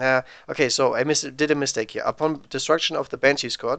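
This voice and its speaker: A bright, sharp tone in a German accent, over a quiet background. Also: man. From Germany. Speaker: tabletop wargame streamer. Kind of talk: live game commentary. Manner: casual thinking-aloud.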